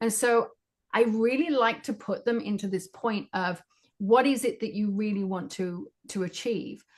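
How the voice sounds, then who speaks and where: With a British accent, a woman speaks using lively intonation. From Great Britain. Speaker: psychic medium and spiritual teacher. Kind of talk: interview answer.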